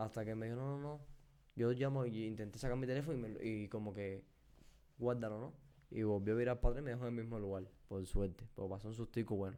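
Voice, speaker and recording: Talking at a very fast pace, a man uses a dark, mellow tone and fairly even intonation. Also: medium pitch for a man. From Cuba. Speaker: podcast co-host. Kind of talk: casual chat.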